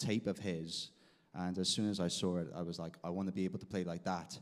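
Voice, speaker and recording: The intonation is fairly even, with a Welsh accent. The recording is very clean with a silent background. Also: man. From South Wales. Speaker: guitarist. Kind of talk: interview. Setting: stage with audience.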